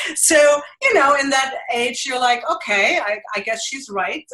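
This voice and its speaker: A woman speaks with a strong German accent, her tone bright and sharp and her intonation lively. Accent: thick German. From Germany. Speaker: mixed media artist. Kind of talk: interview.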